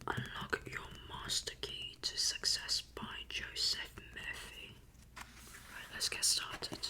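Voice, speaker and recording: Someone is whispering very slowly. Noticeable background noise is present. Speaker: ASMR creator. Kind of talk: casual ASMR intro to camera. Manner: whispered.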